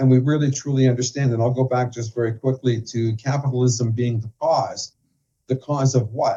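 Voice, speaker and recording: A man with a Canadian accent speaks in a dark, mellow tone at medium pitch. His voice is somewhat breathy and his intonation fairly even. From Canada. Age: 60s. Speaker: financial professional and author. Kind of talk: interview.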